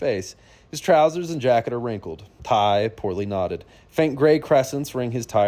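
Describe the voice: Someone does plain reading aloud.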